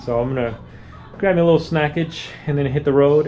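The pace is fairly quick. Light background noise sits behind the voice. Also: man. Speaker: travel vlogger. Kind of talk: casual vlog chat. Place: home room. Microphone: phone near.

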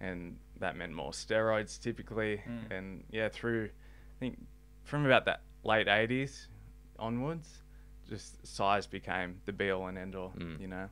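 Over music in the background, a man with a very deep, low pitch speaks at a fairly slow pace, using ordinary pitch variation, big swings in loudness and long, frequent pauses. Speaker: podcast guest. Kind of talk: interview answer. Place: studio. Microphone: studio mic.

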